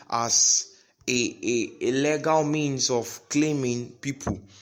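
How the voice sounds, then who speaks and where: A man's voice with fairly even intonation. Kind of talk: sermon-style podcast teaching. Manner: halting, repeats words.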